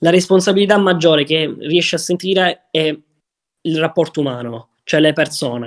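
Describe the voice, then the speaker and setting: At a moderate pace, a man with a plain, everyday voice speaks at a fairly high pitch with ordinary pitch variation. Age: 20s. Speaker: young entrepreneur and crypto investor. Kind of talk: podcast interview.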